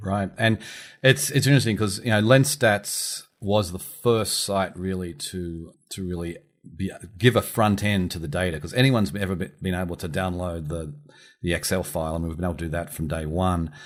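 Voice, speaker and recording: On a very clean recording with a silent background, a man with an Australian accent speaks in a very deep, low voice. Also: ordinary pitch variation, moderate pace. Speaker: podcast host and publisher. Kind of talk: podcast interview.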